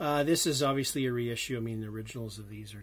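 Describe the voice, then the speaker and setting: Audible room echo surrounds a man speaking fairly quickly with a Canadian accent. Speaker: record collector vlogger. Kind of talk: casual video monologue. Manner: fast.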